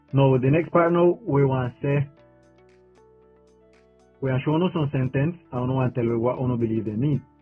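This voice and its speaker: Music plays in the background as a man speaks. His pitch is medium, his intonation fairly even and his pace fairly slow. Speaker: podcast host. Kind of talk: casual conversation.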